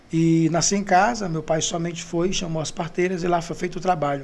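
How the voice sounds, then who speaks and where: A man's high-pitched voice at a moderate pace, fairly even in intonation, with audible room echo. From Brazil, Ceará (Maracanaú). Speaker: pastor. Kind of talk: testimony.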